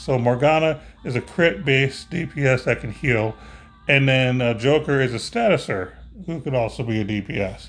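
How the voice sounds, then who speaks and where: A man speaks in a medium pitch at a moderate pace. His voice is somewhat breathy, with ordinary pitch variation. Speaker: mobile game video host. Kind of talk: casual gameplay commentary.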